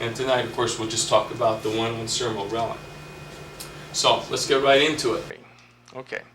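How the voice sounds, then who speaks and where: A man at a fairly quick pace, fairly even in intonation, with long, frequent pauses, audible room echo and noticeable background noise. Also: medium pitch for a man. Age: 60s. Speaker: medical doctor giving a health talk. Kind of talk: lecture. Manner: casual, with fillers and restarts.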